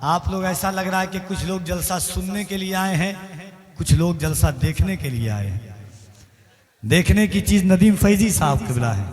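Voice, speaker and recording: A man's high-pitched voice, full of lively intonation, comes through noticeable background noise and audible room echo. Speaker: stage announcer at religious gathering. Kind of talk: stage compering with poetry. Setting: stage with audience, PA system. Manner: declamatory.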